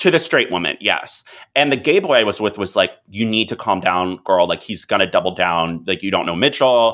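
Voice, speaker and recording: Speaking in an ordinary speaking voice with an American accent, a man talks at a moderate pace, his fairly low pitch carried by lively intonation. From US South, Miami area. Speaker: publicist. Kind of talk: interview.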